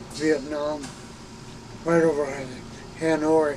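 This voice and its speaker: With noticeable background noise, a man speaks in a fairly high pitch with monotone, flat intonation. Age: 80s+. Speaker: retired air force reconnaissance officer. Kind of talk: interview. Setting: in an RV. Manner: halting.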